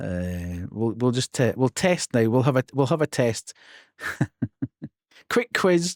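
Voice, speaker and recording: Delivered at a very slow pace in a Scottish accent, the speech has long, frequent pauses. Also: very clean recording, silent background. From Scotland. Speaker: streamer. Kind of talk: live stream chat. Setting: live stream.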